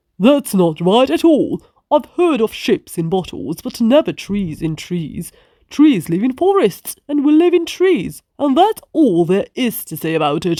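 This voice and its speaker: This put-on character voice is fairly high in pitch, swings very widely in pitch, and keeps a moderate pace. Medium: read story.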